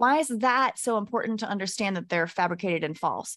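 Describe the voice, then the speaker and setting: With an American accent, a woman speaks in an ordinary speaking voice at a fairly high pitch. Her intonation is lively, her pace fairly quick, and the recording very clean with a silent background. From Texas. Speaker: podcast guest, spiritual content creator. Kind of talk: casual chat.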